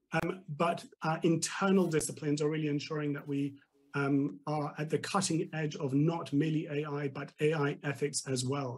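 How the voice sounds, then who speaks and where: A man's fairly high, somewhat breathy voice, moderate in pace, with fairly even intonation. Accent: British. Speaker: tech company executive. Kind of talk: TV business interview.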